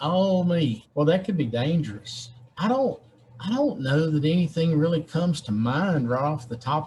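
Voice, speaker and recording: The speaker talks with a Southern US accent. The voice is somewhat breathy. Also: man. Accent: Southern American. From Georgia, USA. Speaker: state legislator. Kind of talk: interview answer.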